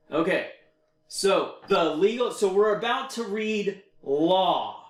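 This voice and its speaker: A man's high-pitched voice with an American accent, ordinary pitch variation and audible room echo. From Texas. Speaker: federal construction consultant and teacher. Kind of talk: one-on-one tutoring session. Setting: video call. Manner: slow.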